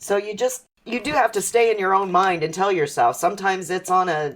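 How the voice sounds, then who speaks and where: This is a woman with a normal speaking voice at medium pitch and a moderate pace. The recording is very clean, with a silent background. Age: 50s. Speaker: mother sharing life lessons. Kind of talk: casual chat. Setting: podcast interview.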